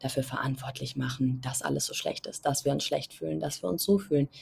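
A woman speaks in a somewhat breathy voice. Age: 20s. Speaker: podcast host. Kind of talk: solo podcast monologue. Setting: outdoors on balcony.

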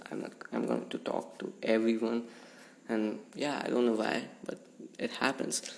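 Background noise is noticeable, and the speaker pauses often and at length. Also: man, moderate pace. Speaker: podcast host. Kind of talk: casual monologue.

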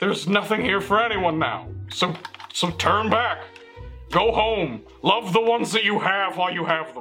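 Over clear music in the background, a man puts on a gruff character voice. It is high-pitched and moves at a moderate pace. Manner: sarcastic, world-weary, melancholy.

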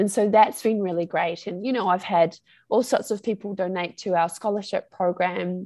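A woman's medium-pitched voice in a New Zealand accent, dark and mellow in tone, at a moderate pace with fairly even intonation, over a quiet background. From New Zealand, far north of the North Island. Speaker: Maori language teacher. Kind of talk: interview conversation.

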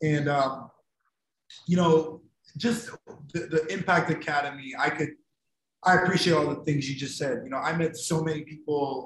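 Using a plain, everyday voice, a man with an American accent talks at a moderate pace with a fairly high pitch and fairly even intonation. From Ohio. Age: 30s. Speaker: podcast host. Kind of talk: casual chat.

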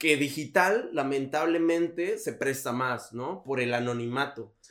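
This man has an unremarkable speaking voice with fairly high pitch and ordinary pitch variation. He speaks at a fairly slow pace. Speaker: podcast host. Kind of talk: casual chat.

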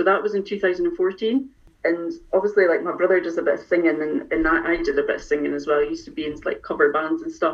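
A woman talks at a very fast pace in a Scottish accent. Noticeable background noise runs behind her. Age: 40s. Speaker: music fan. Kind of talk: casual chat. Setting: video call.

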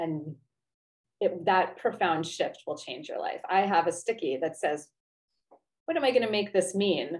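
Pausing long and often, a woman of medium pitch talks at a moderate pace with lively intonation. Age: 40s. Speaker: life coach and former therapist. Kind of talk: interview.

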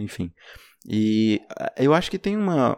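An ordinary speaking voice from a man at medium pitch, with lively intonation, in a very clean recording with a silent background. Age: young. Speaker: podcast host. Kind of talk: casual chat.

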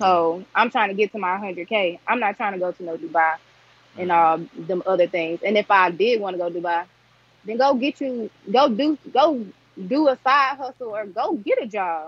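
Here is a woman with a Southern US accent and a medium pitch. She talks at a moderate pace with lively intonation. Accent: US South. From Arkansas. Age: 20s. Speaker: entrepreneur. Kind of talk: casual chat.

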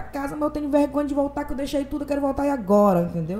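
This woman speaks at a very fast pace in a high pitch with ordinary pitch variation. There is noticeable background noise. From Parintins, Amazonas, northern Brazil. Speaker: singer and radio host. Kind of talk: casual interview chat.

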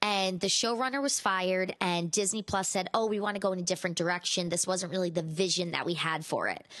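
Against a quiet background, a woman with a plain, everyday voice talks at a fairly quick pace, at medium pitch with ordinary pitch variation. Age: 30s. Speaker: pop culture podcast host. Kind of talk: casual celebrity gossip roundup.

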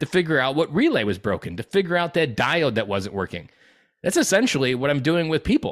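Very fast speech comes from a man with a fairly high voice and vocal fry. The recording is very clean, with a silent background. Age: 30s. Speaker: dad coach, former Marine. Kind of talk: interview.

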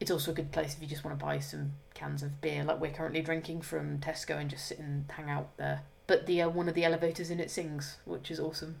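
The speech comes at a very fast pace, and noticeable background noise is present. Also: woman. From rural England. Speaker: podcast host. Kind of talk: casual chat.

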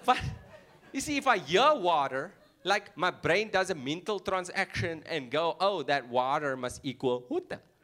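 On a very clean recording with a silent background, a man's high-pitched voice shows very wide pitch swings and a bright, sharp tone. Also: moderate pace. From South Africa, Cape Town. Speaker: stand-up comedian. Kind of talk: stand-up.

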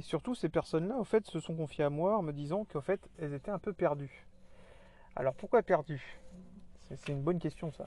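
Dry and close with no echo, a man speaks at a moderate pace with a high pitch, a dark, mellow tone, ordinary pitch variation and long, frequent pauses. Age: 30s. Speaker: podcast host on survivalism. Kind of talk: solo monologue. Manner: halting, many fillers and repetitions.

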